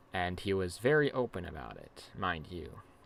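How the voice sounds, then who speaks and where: Quiet and very slow, a man's voice has a bright, sharp tone and very wide pitch swings. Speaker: gaming youtuber. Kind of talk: casual commentary video. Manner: halting, many fillers; speaking quietly.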